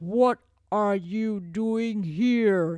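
A man speaks in a put-on character voice pitched high. The sound is gruff. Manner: shouting, angry.

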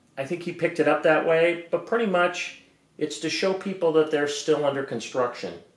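A man with a high pitch talks in a space with audible room echo. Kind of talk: casual vlog chat. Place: garage. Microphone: camera far.

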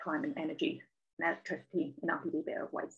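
The speech moves at a very fast pace. The background is quiet. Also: woman. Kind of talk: lecture. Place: home room. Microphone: webcam.

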